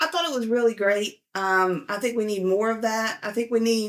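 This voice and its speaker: Speaking with a Southern US accent, a woman talks at a moderate pace and fairly high pitch, with ordinary pitch variation. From US South. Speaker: financial video host, power engineer. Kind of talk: casual vlog commentary. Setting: at home with a dog.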